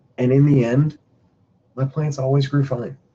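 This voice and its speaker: This man's voice is somewhat breathy, medium in pitch, with a dark, mellow tone. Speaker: hydroponics instructor. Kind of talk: live webinar lecture. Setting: home office video stream.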